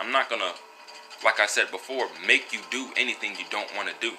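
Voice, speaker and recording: Noticeable background noise under a man talking at a fairly quick pace. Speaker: vlogger and wellness product seller. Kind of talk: casual monologue vlog. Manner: halting, many fillers.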